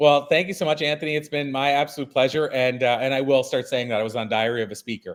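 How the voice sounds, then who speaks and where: A man's fairly high voice at a very fast pace, with ordinary pitch variation and hardly any pauses. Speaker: keynote speaker. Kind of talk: interview.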